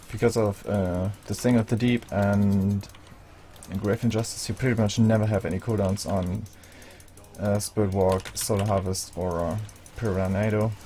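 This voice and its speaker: A non-native accent at a moderate pace, with noticeable background noise. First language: not English. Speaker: video game guide creator. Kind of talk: gameplay tutorial. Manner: casual, hesitant with fillers.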